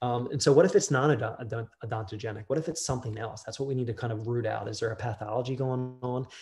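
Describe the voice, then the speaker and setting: A somewhat breathy man talks at a very fast pace with hardly any pauses and ordinary pitch variation. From Delaware. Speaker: dentist; presenter. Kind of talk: lecture. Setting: video call. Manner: casual with many fillers. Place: office. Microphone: webcam.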